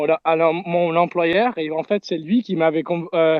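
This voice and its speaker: This man talks very slowly with a slight English-Canadian accent. His voice sits fairly high, and his intonation is fairly even. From Canada. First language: English (speaking French). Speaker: crypto community member. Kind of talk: live audio space talk. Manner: halting.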